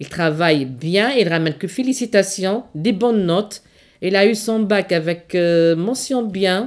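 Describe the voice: In a very clean recording with a silent background, a woman at a medium pitch talks at a fairly slow pace with ordinary pitch variation.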